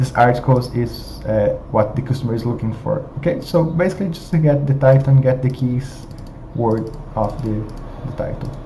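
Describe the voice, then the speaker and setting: A man with a non-native accent speaks at a moderate pace. Noticeable background noise and audible room echo are present. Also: medium pitch for a man, ordinary pitch variation. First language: not English. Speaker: software tutorial presenter. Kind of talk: screen-share tutorial. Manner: halting, many fillers.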